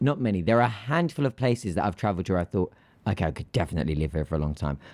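The speaker has a British accent and very wide pitch swings. The recording is very clean, with a silent background. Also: man. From Greece. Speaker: aviation podcast host. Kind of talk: casual chat.

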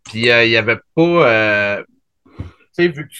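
Using ordinary pitch variation, a man with a Quebec accent talks at a fairly slow pace and a medium pitch. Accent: Québécois French. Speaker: podcast host. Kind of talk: casual chat.

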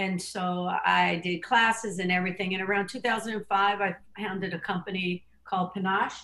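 This woman has an ordinary speaking voice at medium pitch. Her intonation is fairly even. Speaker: fitness trainer and wellness coach. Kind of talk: interview conversation.

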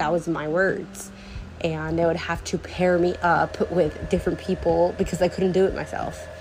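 Music plays in the background while this woman speaks at a moderate pace. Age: 19. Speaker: solo podcaster. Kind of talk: casual monologue.

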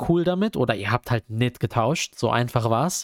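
A man talks in a plain, everyday voice at a moderate pace with lively intonation. The recording is very clean with a silent background, and the sound is dry and close with no echo. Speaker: student podcast host. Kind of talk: casual chat.

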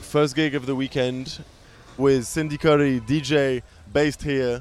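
With an English accent, a man talks at a moderate pace in a fairly high pitch. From England. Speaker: radio presenter and club DJ. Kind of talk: documentary narration and interviews. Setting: in a car.

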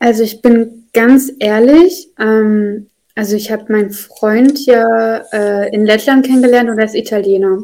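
At a fairly slow pace and with hardly any pauses, a woman speaks in a dark, mellow tone. Her pitch is fairly high, with ordinary variation. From Russian-speaking family, moved to Germany as a child. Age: 20s. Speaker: social sciences student, former nursery teacher. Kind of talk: casual chat. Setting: video call.

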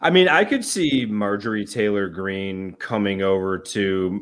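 This man has a plain, everyday voice with fairly low pitch. He talks at a fairly slow pace on a very clean recording with a silent background. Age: 40s. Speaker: podcast co-host. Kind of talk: casual chat.

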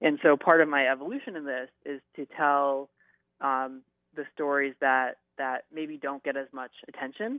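The man talks at a moderate pace. His intonation is monotone and flat. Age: 30s. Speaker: YouTuber. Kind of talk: interview. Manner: halting.

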